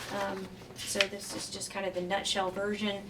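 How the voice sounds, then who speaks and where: Medium pitch from a woman, with noticeable background noise. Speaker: county judge. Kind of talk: presentation talk. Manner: fast.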